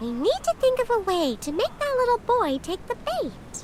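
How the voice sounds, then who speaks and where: Squeaky and pitched extremely high, this put-on character voice makes very wide pitch swings. It moves at a moderate pace over clear background noise. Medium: video game.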